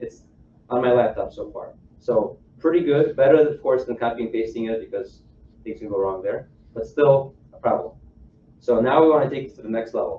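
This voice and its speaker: Long, frequent pauses break up a fairly quick pace. Loudness swings widely throughout. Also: man. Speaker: software engineer giving a tech talk. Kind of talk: technical presentation to a live audience. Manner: fast.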